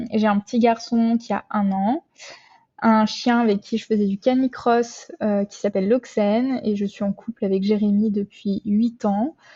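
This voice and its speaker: A woman talks fairly slowly in a somewhat breathy voice set fairly high. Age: 20s. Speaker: nurse and amateur triathlete. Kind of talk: interview. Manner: hesitant, many fillers.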